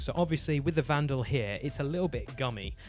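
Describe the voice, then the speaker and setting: Over background music, a man with a British accent speaks at a medium pitch, fairly quickly and with lively intonation. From UK. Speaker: disc golf artist and video host. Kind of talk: tutorial. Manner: casual, with fillers.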